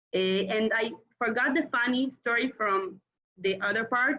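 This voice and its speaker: Her voice is fairly high, with ordinary pitch variation. The woman speaks fairly slowly in an Israeli accent. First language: Hebrew. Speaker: former Israeli community emissary. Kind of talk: casual reunion chat. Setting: video call. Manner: halting.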